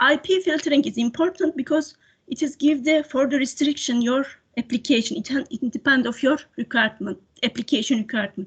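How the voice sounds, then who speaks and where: A woman's high-pitched voice with ordinary pitch variation, dry and close with no echo, against a quiet background. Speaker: cybersecurity consultant. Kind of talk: webinar presentation. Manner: fast; halting.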